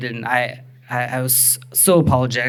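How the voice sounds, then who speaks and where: A man speaks with an American accent amid noticeable background noise. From Texas. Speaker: storyteller and improv teacher. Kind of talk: live personal storytelling performance. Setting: live stage. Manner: casual, conversational with fillers.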